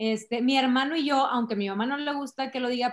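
This is a woman with ordinary pitch variation. Her recording is very clean, with a silent background. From Monterrey, Mexico. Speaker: human resources director. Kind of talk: interview. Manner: animated.

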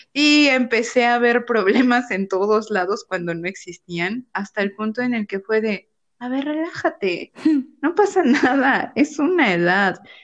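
A woman speaks in a normal speaking voice at a fairly slow pace, her intonation lively. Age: 30s. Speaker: psychologist podcast co-host. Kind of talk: casual chat.

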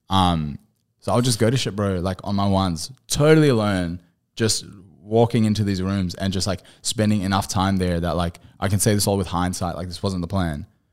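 With an Australian accent, a man with a very deep, low pitch talks fairly quickly and with ordinary pitch variation, on a very clean recording with a silent background. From regional Queensland, Australia. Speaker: musician. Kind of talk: casual chat.

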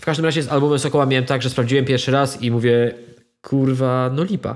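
A man speaks very fast. The recording is very clean and the background silent. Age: 30s. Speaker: podcast co-host. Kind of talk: casual chat. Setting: at home.

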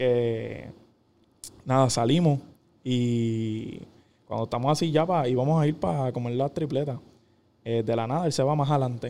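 In a very clean recording with a silent background, a man with a Puerto Rican accent talks at a moderate pace with long, frequent pauses, his medium-pitched voice dark and mellow, with ordinary pitch variation. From Puerto Rico, Caguas. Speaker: professional volleyball player. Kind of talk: casual interview.

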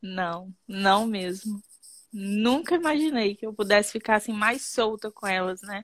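This is a plain, everyday voice: a woman at medium pitch, speaking at a fairly slow pace with ordinary pitch variation and big swings in loudness. The recording is very clean with a silent background and a dry, close sound with no echo. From Brazil, Espírito Santo (Muqui). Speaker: children's ballet teacher. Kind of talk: testimonial interview.

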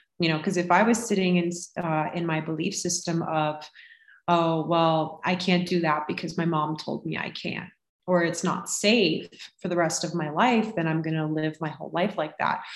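A woman with an unremarkable speaking voice and an American accent talks at a moderate pace, her fairly low pitch held in fairly even intonation. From Florida. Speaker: holistic health coach. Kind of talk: casual chat.

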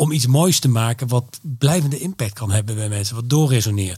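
Somewhat breathy, a man speaks fairly quickly at medium pitch with ordinary pitch variation. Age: 50s. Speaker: creative events entrepreneur. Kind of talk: interview. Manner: hesitant, many filler sounds.

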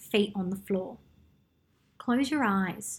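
A woman speaks in a somewhat breathy voice. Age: 30s. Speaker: podcast host. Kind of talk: solo podcast monologue; guided meditation.

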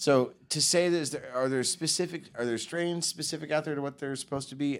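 Speaking in a plain, everyday voice with a fairly high pitch and ordinary pitch variation, a man talks with hardly any pauses in a very clean recording with a silent background. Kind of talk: casual chat.

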